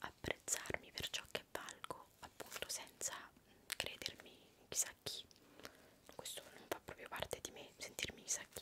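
Whispering in an intense tone, a woman speaks at a fairly slow pace with long, frequent pauses. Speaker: ASMR creator. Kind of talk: casual Q&A chat. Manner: intense close-mic whisper. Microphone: studio mic.

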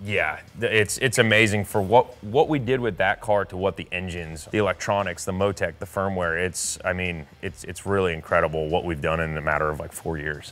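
At a fairly quick pace and with hardly any pauses, a man speaks in a very deep, low pitch. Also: ordinary pitch variation. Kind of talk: interview answer. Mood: proud, enthusiastic. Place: workshop. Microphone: lapel.

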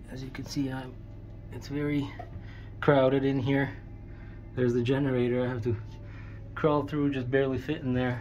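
The speech moves at a moderate pace over faint music in the background. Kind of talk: casual vlog chat. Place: boat. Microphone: phone near.

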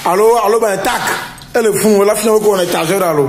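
A man talks at a fairly quick pace with a high pitch and fairly even intonation. Strong room echo surrounds the voice.

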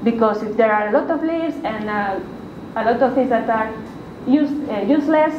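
A woman at a moderate pace with ordinary pitch variation, over noticeable background noise. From Spain, Valencia. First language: Spanish. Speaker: university researcher and lecturer. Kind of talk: lecture. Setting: stage with audience. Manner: halting. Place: meeting room. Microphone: camera far.

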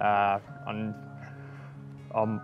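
A man with an Australian accent, dry sound with no echo, clear music in the background. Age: 30s. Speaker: weight loss testimonial subject. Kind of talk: testimonial interview answer. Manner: casual, conversational, hesitant. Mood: reflective, calm. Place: garden. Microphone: lapel.

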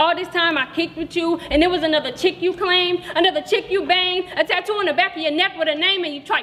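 In a furious tone and a raised, projected voice, a woman speaks at a very fast pace with hardly any pauses, an extremely high pitch and fairly even intonation. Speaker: slam poet. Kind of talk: spoken word poetry slam performance. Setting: stage with audience. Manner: rhythmic, rhyme-driven delivery building from flirtatious to furious; confrontational, profane, defiant kiss-off tone. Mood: angry, scornful. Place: hall. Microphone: camera far.

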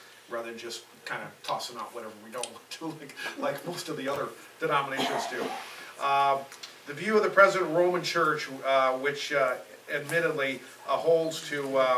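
Spoken at a moderate pace, the voice jumps widely in loudness over light background noise and audible room echo. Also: man, ordinary pitch variation. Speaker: pastor leading a Bible study. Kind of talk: teaching talk. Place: home room. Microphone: camera far.

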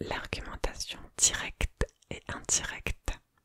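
A woman is whispering, soft-spoken. The sound is dry with no echo. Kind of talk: soft-spoken reading, ASMR-style. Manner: soft close-mic whisper, reading aloud. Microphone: studio mic.

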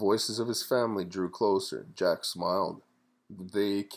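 This is plain reading aloud. The text is read aloud plainly.

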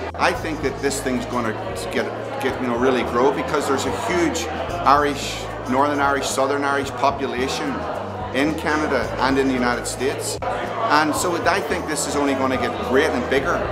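A man talks at a moderate pace, with clear music in the background. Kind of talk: interview answer. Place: hall.

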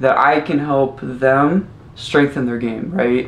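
A man talks at a very slow pace. His intonation stays fairly even. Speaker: basketball skills trainer. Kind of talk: interview answer. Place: home room.

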